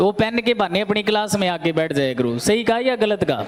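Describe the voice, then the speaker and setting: Over noticeable background noise, a man with a high pitch speaks in an animated tone at a moderate pace. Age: 30s. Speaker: coaching teacher. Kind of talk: classroom lecture.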